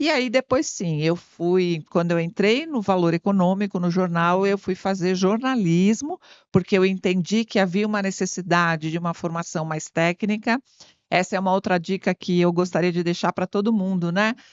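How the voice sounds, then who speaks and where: A woman speaks in a normal speaking voice at a moderate pace. Her pitch is medium, with ordinary pitch variation. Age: 60s. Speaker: marketing consultant and MBA teacher. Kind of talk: interview. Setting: studio.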